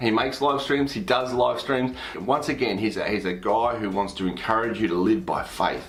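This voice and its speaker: With an Australian accent, a man at a medium pitch and ordinary pitch variation talks at a moderate pace amid noticeable background noise and audible room echo. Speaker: pastor and YouTuber. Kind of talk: casual recommendation video. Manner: hesitant, repeats words.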